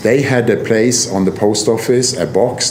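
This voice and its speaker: A man with a Norwegian accent, with noticeable background noise and audible room echo. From southern Norway, Kristiansand. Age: 60s. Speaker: motorcycle traveller and photographer. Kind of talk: casual interview.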